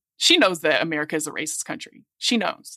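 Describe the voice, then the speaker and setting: The voice is bright and sharp in tone, with lively intonation and a very fast pace, heard in a dry, close recording with no echo. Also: woman, very clean recording, silent background. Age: 40s. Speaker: podcast co-host. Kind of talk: casual chat.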